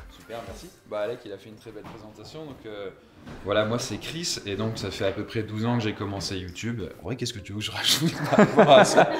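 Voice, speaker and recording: A man speaks at a fairly quick pace with ordinary pitch variation and big swings in loudness, against noticeable background noise. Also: fairly low pitch for a man. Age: 30s. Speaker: YouTuber and entrepreneur. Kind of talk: casual talk to participants.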